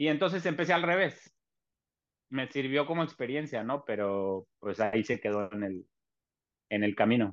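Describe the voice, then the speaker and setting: A man with very wide pitch swings and long, frequent pauses against a quiet background. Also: medium pitch for a man, moderate pace. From Mexico City. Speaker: chef. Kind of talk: casual chat.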